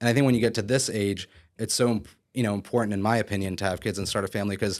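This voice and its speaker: A man with an American accent, fairly low in pitch, fairly even intonation, a very fast pace, very clean recording, silent background. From Philadelphia area, Pennsylvania. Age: 30s. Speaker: real estate broker and developer. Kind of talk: podcast interview.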